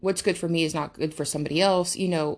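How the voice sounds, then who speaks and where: With an American accent, a woman talks at a very deep, low pitch and fairly even intonation over a quiet background. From United States. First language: not English. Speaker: podcast host. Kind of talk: casual monologue. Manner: halting.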